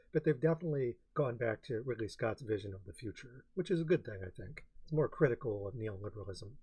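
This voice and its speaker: With lively intonation and a dark, mellow tone, a man speaks very fast at medium pitch, somewhat breathy, with hardly any pauses. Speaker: film reviewer and blogger. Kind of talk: casual film reaction and commentary. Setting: home recording, quiet uneven mic.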